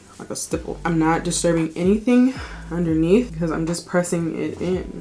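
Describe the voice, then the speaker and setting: A woman talks at a moderate pace in a fairly low voice. Noticeable background noise can be heard. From Texas, Houston. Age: 20s. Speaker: beauty youtuber. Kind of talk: makeup tutorial. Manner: casual, chatty.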